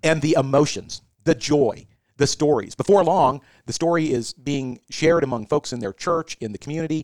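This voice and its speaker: A man has an unremarkable speaking voice, fairly high in pitch with ordinary variation. He keeps a moderate pace, and the sound is dry and close with no echo. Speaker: senior care executive. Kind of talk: casual interview.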